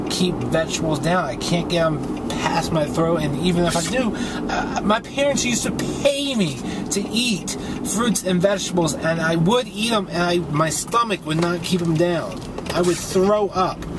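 Over loud background noise, a man talks with ordinary pitch variation in a dry sound with no echo. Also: moderate pace. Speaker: weight loss vlogger. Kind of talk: casual vlog chat. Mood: frustrated, venting. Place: car. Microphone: phone near.

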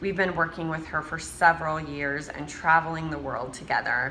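There is light background noise. A woman talks with a very deep, low pitch. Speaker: host of confidence boot camp. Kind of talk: show introduction. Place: home room. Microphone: phone near.

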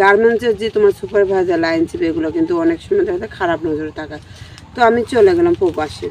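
A woman speaks at a fairly high pitch with very wide pitch swings. The sound is dry with no echo, and there is light background noise. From Bangladesh, Gaibandha; Bangladesh. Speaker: returned migrant domestic worker. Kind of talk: personal testimony. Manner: halting. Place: garden.

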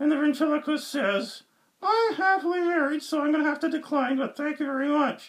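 Using a put-on character voice, a man talks at a fairly quick pace and an extremely high pitch. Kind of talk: joke telling.

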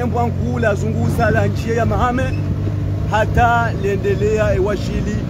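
Fairly slow male speech over loud background noise, dry with no echo. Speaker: amateur road reporter. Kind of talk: commentary. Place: car. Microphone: phone near.

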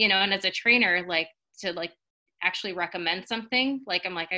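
A woman speaks at a fairly quick pace with ordinary pitch variation. The background is quiet. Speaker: guest. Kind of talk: personal testimonial talk. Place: home room. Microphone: webcam.

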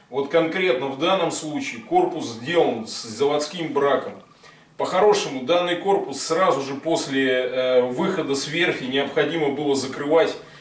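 The room echo is audible around a man's voice. His pitch moves with ordinary variation. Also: moderate pace. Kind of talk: explanatory talk to camera. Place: workshop. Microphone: camera far.

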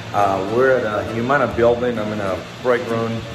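A man speaks at a moderate pace with fairly even intonation. Noticeable background noise runs behind him. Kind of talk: casual vlog chat. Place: office. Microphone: phone near.

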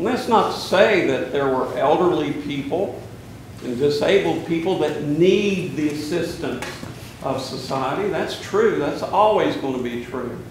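With audible room echo and light background noise, a man speaks at a fairly slow pace. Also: ordinary pitch variation. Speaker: priest preaching. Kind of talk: sermon. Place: church.

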